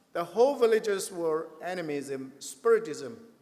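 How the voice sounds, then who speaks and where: Noticeable background noise runs behind this man as he speaks. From Chin State, Burma. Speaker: pastor. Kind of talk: testimony. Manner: halting.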